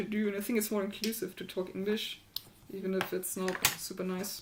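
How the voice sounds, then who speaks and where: Under noticeable background noise, a woman with a strong German accent talks at a fairly quick pace. Her pitch is medium and her intonation fairly even. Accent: heavy German. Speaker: maker and electronics hacker. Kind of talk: casual livestream chat.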